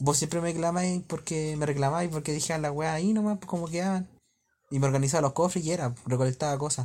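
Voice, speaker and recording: Talking at a very fast pace, a man with a Chilean accent uses a fairly high pitch and fairly even intonation. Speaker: podcast host. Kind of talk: casual chat.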